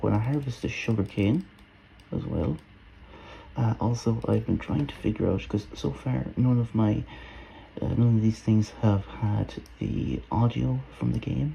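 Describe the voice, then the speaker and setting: A soft-spoken man with a dark, mellow tone talks at a fairly slow pace with long, frequent pauses. His somewhat breathy voice makes very wide pitch swings. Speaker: gaming video creator. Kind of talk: let's play commentary. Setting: at home. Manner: quiet, soft-spoken; hesitant, many fillers.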